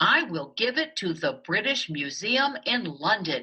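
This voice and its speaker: Here is a put-on character voice at a fairly high pitch. It moves at a fairly slow pace with very wide pitch swings. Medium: read story.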